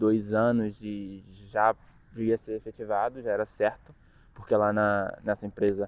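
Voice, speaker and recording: The man's pitch is fairly low. He talks at a fairly slow pace. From Brazil, Rio de Janeiro. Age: 20s. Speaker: student vlogger. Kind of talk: casual vlog monologue.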